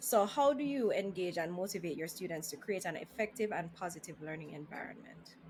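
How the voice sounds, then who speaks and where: Music plays in the background as a woman talks at a fairly quick pace with hardly any pauses, her fairly low voice showing lively intonation. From Jamaica. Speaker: podcast host. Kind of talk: interview.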